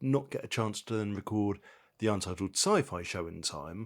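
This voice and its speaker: At a moderate pace, a man with an English accent and a fairly low pitch speaks in a very clean recording with a silent background. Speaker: podcast host. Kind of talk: casual chat. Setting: kitchen at night. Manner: quiet.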